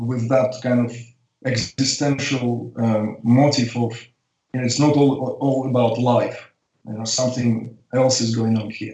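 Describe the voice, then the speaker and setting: In a somewhat breathy voice, a man talks with monotone, flat intonation. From Uzbekistan (Tashkent), Soviet Union. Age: 50s. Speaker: spiritual teacher and artist. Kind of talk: interview. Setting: remote call.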